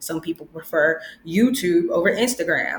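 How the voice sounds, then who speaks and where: This woman's voice sits at a fairly low pitch. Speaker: branding educator, video creator. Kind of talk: tutorial. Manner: upbeat, animated.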